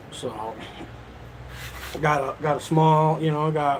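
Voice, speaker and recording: A speaker with an American accent talks at a very slow pace in a monotone, flat intonation. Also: man. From lower Michigan. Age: 40s. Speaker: live streamer. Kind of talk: casual live stream chat.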